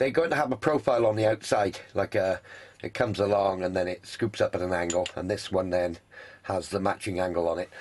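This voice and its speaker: A man speaks with a British accent. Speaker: hobby machinist and YouTuber. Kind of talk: workshop tutorial. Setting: home workshop shed. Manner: casual, hesitant with fillers.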